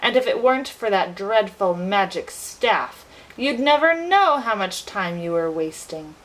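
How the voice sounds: Text read out in a natural voice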